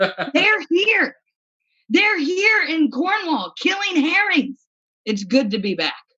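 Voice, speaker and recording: In a Midwestern accent, a woman with an extremely high pitch speaks in a raised, projected voice with a bright, sharp tone. Her pitch swings very widely, and her pace is very slow. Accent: American Midwestern. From US Midwest, rural. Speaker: comedian. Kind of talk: stand-up.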